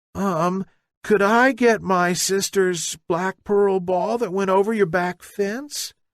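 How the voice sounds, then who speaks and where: A put-on character voice at a middle pitch is performed at a fairly slow pace against a quiet background. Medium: read story. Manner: timid, earnest.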